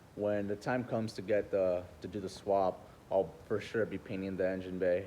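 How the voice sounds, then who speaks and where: A man speaks with a very deep, low pitch and a dark, mellow tone. His pace is moderate and his intonation monotone and flat. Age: 20s. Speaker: car enthusiast vlogger. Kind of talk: casual vlog monologue. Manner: halting, many pauses and fillers.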